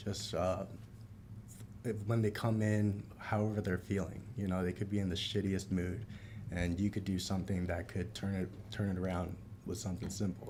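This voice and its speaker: Somewhat breathy, a man with an American accent talks at a fairly quick pace and a fairly low pitch. His intonation is monotone and flat, and the room echo is audible. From South Florida, Palm Beach Gardens. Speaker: bartender. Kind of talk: casual chat.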